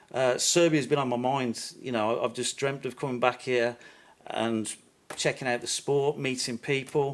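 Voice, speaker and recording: At a moderate pace, a man with a Birmingham accent speaks in a monotone, flat intonation. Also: medium pitch for a man. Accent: Birmingham (Brummie). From England, Birmingham. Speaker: YouTuber visiting football fans. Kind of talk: podcast interview.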